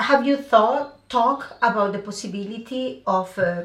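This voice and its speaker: A woman's fairly slow speech over noticeable background noise. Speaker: podcast host. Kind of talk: casual interview.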